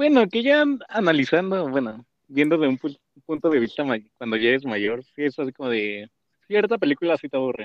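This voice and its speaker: A fairly high-pitched man at a fairly quick pace, with very wide pitch swings. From Mexico, Mexico City. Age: 20s. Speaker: podcast co-host. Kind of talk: casual chat.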